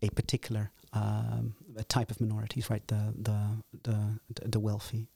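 On a very clean recording with a silent background and a dry, close sound with no echo, a man with a Dutch accent speaks at a moderate pace, his fairly low-pitched voice somewhat breathy with a dark, mellow tone. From Netherlands. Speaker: political science lecturer. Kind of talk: interview. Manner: halting, many fillers and repetitions.

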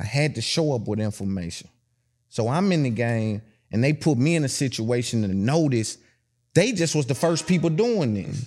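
A man speaks with a Tennessee accent. His intonation is lively. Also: medium pitch for a man, moderate pace, very clean recording, silent background. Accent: Southern US, Tennessee. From Tennessee, US South. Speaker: podcast host. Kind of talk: casual interview chat.

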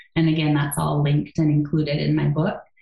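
Over music in the background, a woman with an American accent speaks at a very deep, low pitch. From US Midwest, Wisconsin. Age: 40s. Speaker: yoga therapist and author. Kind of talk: interview.

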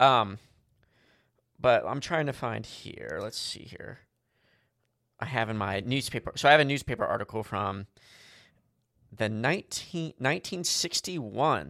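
On a very clean recording with a silent background, a man speaks at medium pitch in a bright, sharp tone with vocal fry. His pace is fairly slow with long, frequent pauses, and his loudness swings widely. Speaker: podcast co-host. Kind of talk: casual chat.

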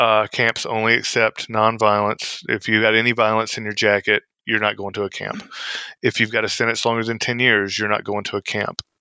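Speaking with a Southern US accent, a man at medium pitch talks at a fairly quick pace in a dry, close sound with no echo. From Mississippi. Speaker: former federal prison inmate. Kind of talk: interview. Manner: halting, frequent fillers and repeats.

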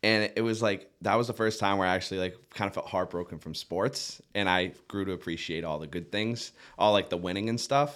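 Very cleanly recorded against a silent background, a man with an American accent and a plain, everyday voice speaks at a fairly quick pace and a fairly low pitch, with ordinary pitch variation and hardly any pauses. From Massachusetts South Shore (Duxbury). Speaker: sports journalist. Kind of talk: casual interview. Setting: studio.

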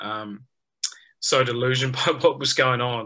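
With a New Zealand accent, a man speaks at a medium pitch in a bright, sharp tone and a monotone, flat intonation. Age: 30s. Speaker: professional cricketer. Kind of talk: interview.

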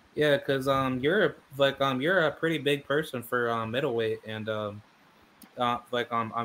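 A man at a medium pitch with fairly even intonation. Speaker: boxing podcast host. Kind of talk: casual interview. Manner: halting.

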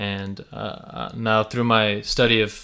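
Bright and sharp in tone, a man talks at a medium pitch. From US, Slavic immigrant family. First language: Russian and Ukrainian. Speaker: podcast co-host. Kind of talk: casual discussion.

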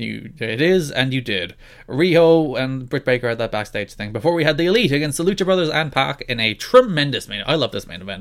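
He has a plain, everyday voice at a medium pitch. His intonation is lively and his pace fairly quick. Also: hardly any pauses. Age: young. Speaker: wrestling podcast co-host. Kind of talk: casual chat.

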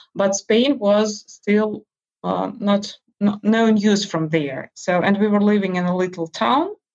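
A woman with a Russian accent speaks at a very slow pace with ordinary pitch variation. The sound is dry and close, with no echo. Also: medium pitch for a woman. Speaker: interview guest. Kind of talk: casual interview. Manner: halting, many fillers.

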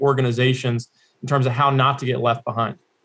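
Speaking with fairly even intonation, a man sounds somewhat breathy. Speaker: managing director of a conference forum. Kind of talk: interview. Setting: video call.

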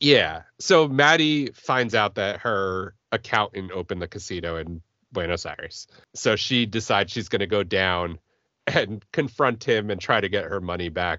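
In a normal speaking voice, a man talks at a moderate pace with lively intonation. His pitch is fairly low. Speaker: podcast host. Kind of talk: casual chat.

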